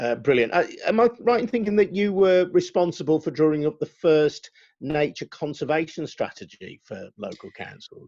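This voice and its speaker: In a quiet setting, a high-pitched man keeps a moderate pace with hardly any pauses, his intonation lively and his loudness swinging widely. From West Midlands. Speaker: journalist interviewer. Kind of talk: interview.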